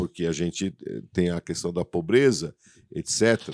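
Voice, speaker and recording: A man with a very deep, low pitch and ordinary pitch variation, dry sound with no echo over a quiet background. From São Paulo, Brazil. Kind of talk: interview. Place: studio. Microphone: studio mic.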